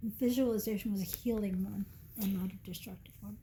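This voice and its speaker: Somewhat breathy and dark, mellow in tone, a woman talks at medium pitch and a moderate pace. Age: 70s. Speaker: nurse and cancer survivor. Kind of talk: interview.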